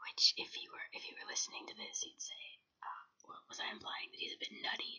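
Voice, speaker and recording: A woman's whisper at a fairly quick pace, with big swings in loudness. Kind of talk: ASMR show and tell, casual talk to camera. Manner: whispered, soft-spoken.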